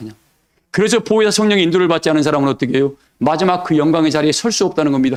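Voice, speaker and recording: This man's voice sits fairly high in pitch. He talks with lively intonation. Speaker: pastor. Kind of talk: sermon. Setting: church service. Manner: animated, call-and-response questions.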